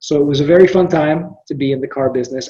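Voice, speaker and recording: Dark and mellow in tone, this man's voice is somewhat breathy, with pitch that varies in an ordinary way. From Philippines. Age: 40s. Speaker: business owner. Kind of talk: casual interview.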